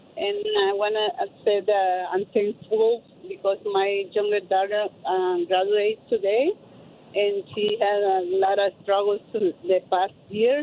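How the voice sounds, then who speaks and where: Speaking with a non-native accent, a woman keeps a medium pitch and a fairly slow pace. Her intonation is fairly even and her loudness very even. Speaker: caller. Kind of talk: phone-in testimony. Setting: phone call. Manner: halting.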